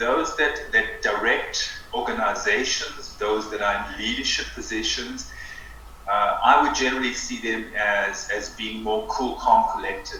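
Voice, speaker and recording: Amid audible room echo and noticeable background noise, a man talks at a fairly slow pace. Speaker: breathwork teacher. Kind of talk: interview conversation. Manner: slow, with pauses.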